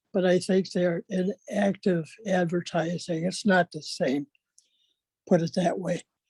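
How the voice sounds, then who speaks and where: Speaking at a moderate pace, a woman has a medium pitch and a somewhat breathy voice. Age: 70s. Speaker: recovering alcoholic sharing in a meeting. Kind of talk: personal share in a recovery meeting.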